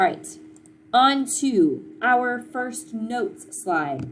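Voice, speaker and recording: A medium-pitched woman with an American accent, in audible room echo. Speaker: middle school science teacher. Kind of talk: recorded class lesson. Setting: recorded at home.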